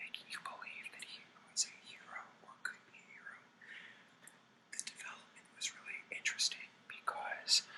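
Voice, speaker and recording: Whispered speech from a man, moderately paced, against noticeable background noise. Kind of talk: movie review, whispered ASMR.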